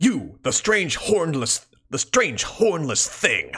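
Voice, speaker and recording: A put-on character voice at a very slow pace, with very wide pitch swings. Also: man, high pitch for a man. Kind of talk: dramatic, theatrical. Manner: super intense.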